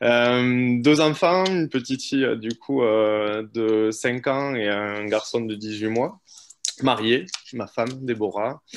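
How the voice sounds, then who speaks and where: A man talks at a very slow pace with a medium pitch and ordinary pitch variation. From Toulouse area, France (Auvergne-born, moved at two). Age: 30s. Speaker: business partner guest, real estate professional. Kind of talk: casual interview. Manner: hesitant, many fillers.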